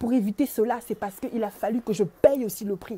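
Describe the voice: This woman has a medium pitch and a dark, mellow tone. She talks at a fairly quick pace with fairly even intonation.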